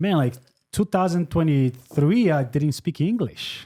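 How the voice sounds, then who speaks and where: A man's dark, mellow, somewhat breathy voice with a non-native accent and lively intonation, in a dry, close sound with no echo. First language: not English. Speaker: podcast host. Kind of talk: casual chat.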